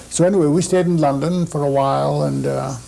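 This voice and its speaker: Through noticeable background noise and audible room echo, a man speaks at a moderate pace. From Shanghai, China. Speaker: immigrant interviewee. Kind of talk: interview. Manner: halting.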